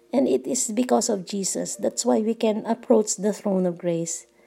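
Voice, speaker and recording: A woman's dark, mellow voice at a fairly slow pace. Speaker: devotion leader. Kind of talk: devotional talk.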